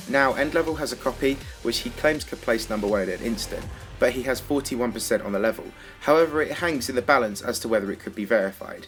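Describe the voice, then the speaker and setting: A man talks very fast at a medium pitch with lively intonation. Music plays in the background. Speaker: gaming documentary narrator. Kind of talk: video game documentary narration. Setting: lower-quality microphone recording.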